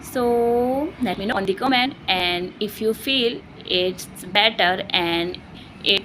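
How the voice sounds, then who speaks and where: A woman with an Indian accent speaks at a very slow pace and medium pitch. Her pitch varies in an ordinary way, and there is noticeable background noise. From India, Uttarakhand. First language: Hindi. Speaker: English learner vlogger. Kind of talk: personal vlog monologue. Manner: halting, self-correcting.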